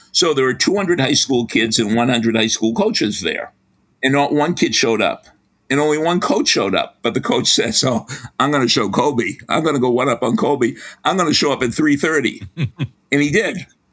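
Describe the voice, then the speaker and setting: With a Boston accent, a man speaks at a fairly quick pace and fairly high pitch, his intonation lively and his loudness very even, on a very clean recording with a silent background. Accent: Boston accent, somewhat. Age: 70s. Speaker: sports psychology professor. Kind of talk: interview.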